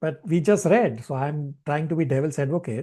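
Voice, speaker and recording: The voice has a dark, mellow tone and moves at a moderate pace against a quiet background. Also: man. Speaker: spiritual teacher. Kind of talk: online class with discussion.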